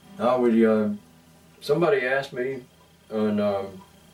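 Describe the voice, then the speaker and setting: Noticeable background noise behind a man at a fairly slow pace. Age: 60s. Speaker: musician. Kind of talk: interview. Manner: halting, many fillers.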